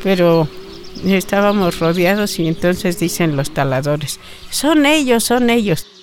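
A woman's medium-pitched voice with lively intonation at a fairly slow pace, over noticeable background noise. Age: 80s+. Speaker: community forest defender. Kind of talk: testimony.

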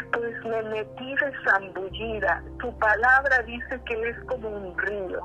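Music plays in the background as a woman speaks at a very slow pace. She leaves hardly any pauses. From Central America (Costa Rica / Honduras). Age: 60s. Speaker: author and psychologist. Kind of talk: testimony.

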